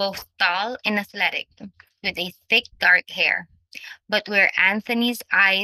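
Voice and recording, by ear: Reading aloud in a natural voice, the speaker uses lively intonation against a quiet background.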